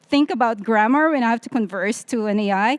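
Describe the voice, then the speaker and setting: A woman with a non-native accent at a fairly quick pace, ordinary pitch variation, on a very clean recording with a silent background. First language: not English. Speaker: tech conference panelist. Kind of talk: panel discussion.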